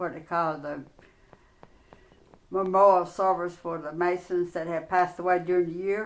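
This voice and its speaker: With a North Carolina accent, a woman speaks at a fairly low pitch in a monotone, flat intonation. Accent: US South, North Carolina. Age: 70s. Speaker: interviewee, grandmother. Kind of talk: casual interview.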